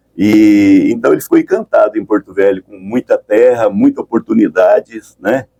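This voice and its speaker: A man speaks at a moderate pace with hardly any pauses, his loudness swinging widely, in a dry, close sound with no echo. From Brazil, São Paulo and northern Paraná. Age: 60s. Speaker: entrepreneur and pioneer. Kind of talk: radio interview. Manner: halting, many repetitions.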